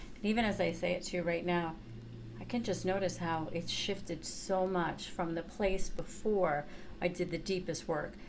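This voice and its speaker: A woman with an American accent, fairly low in pitch, at a moderate pace with fairly even intonation and very even loudness, plus audible room echo. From New York. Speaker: chakra teacher and therapist. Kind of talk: workshop teaching. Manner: casual, conversational.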